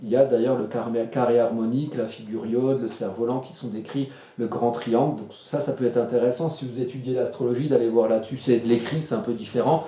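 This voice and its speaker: Amid noticeable background noise and audible room echo, a man with a medium pitch talks at a fairly quick pace. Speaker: astrologer. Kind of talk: tutorial. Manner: fast; animated.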